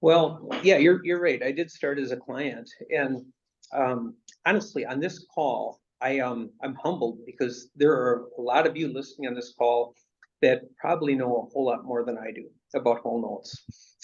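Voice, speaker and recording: This man has a normal speaking voice at a medium pitch. He talks at a moderate pace with ordinary pitch variation. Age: 60s. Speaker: real estate investment executive. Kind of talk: interview.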